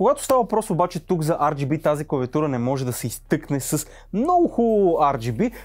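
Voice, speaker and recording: The speaker moves at a moderate pace with very wide pitch swings. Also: man, fairly high pitch for a man, quiet background. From Bulgaria. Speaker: tech reviewer. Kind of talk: product review video. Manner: casual, chatty. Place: studio.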